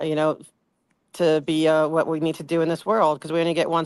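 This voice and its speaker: On a very clean recording with a silent background, a woman with a New Jersey accent speaks at a very fast pace in a very deep, low pitch, her intonation monotone and flat. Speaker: community activist. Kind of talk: interview conversation. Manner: halting.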